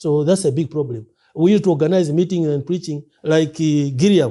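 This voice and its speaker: At a moderate pace, a man talks in a fairly high pitch with a dark, mellow tone. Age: 60s. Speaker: preacher. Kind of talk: interview. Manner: halting.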